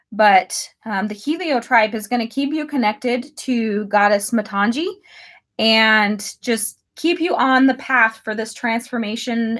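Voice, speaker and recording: A woman with a normal speaking voice talks at a fairly slow pace and a fairly high pitch with ordinary pitch variation, recorded very cleanly against a silent background. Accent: American. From United States. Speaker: tarot reader. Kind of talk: live tarot reading. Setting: livestream.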